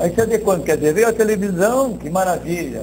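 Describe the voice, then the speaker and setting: Audible room echo and noticeable background noise surround a man speaking at a moderate pace with a high pitch. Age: 60s. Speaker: marketing director. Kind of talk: interview.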